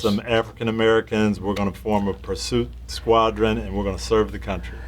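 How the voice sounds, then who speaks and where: Pitch swings very widely at a fairly quick pace. Noticeable background noise is present. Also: man, fairly low pitch for a man. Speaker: interviewer, former football coach. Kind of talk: interview questions.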